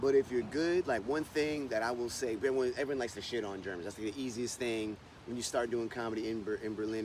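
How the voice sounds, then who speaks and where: In an American accent, a man speaks at a fairly quick pace and medium pitch in a plain, everyday voice. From United States. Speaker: stand-up comedian. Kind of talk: interview answer. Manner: casual, conversational.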